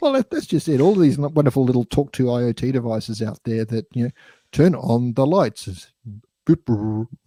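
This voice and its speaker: In an Australian accent, a man talks at a medium pitch and a moderate pace with ordinary pitch variation, on a very clean recording with a silent background. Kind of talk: casual chat. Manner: hesitant, repeats words.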